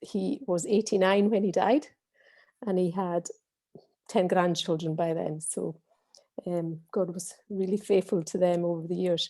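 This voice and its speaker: A woman with a Hebridean accent and a dark, mellow tone at medium pitch, fairly slow in pace with ordinary pitch variation and long, frequent pauses. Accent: Hebridean Scottish. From Scotland, Western Isles (Scalpay, Harris). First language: Scottish Gaelic. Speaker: churchgoer giving testimony. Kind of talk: testimony.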